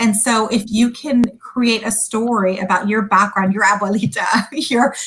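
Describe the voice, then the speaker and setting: At a moderate pace, the speaker uses a plain, everyday voice with fairly even intonation and an American accent. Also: woman. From California, USA (came from Sudan at five). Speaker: food company founder. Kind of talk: interview.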